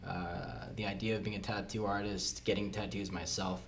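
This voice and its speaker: There is audible room echo as a man with an American accent speaks at a fairly low pitch. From Florida Keys, US. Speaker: tattoo apprentice. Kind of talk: casual chat.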